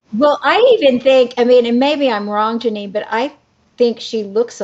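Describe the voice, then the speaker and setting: With lively intonation and a fairly high pitch, a woman talks at a moderate pace in a normal speaking voice. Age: 60s. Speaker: actress. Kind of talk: casual chat.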